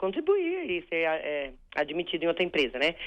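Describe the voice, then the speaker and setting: A woman speaks at a medium pitch. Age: 50s. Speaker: caller, retired public servant. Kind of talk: radio call-in question. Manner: halting.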